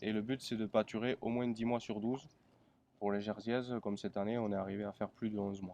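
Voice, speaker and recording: This man talks at a fairly quick pace, his medium pitch held in a monotone, flat intonation. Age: 20s. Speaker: dairy farmer. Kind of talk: interview. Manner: halting.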